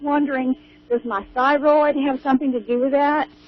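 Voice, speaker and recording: There is noticeable background noise as a woman talks. Her voice is high and her pace fairly quick. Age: 60s. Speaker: caller. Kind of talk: phone-in question. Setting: phone call.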